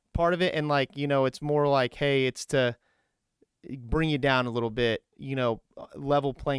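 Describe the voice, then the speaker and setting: At a moderate pace, a man speaks with a medium pitch and ordinary pitch variation on a very clean recording with a silent background, dry and close with no echo. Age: 30s. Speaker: podcast host. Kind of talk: casual interview chat. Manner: halting, many fillers.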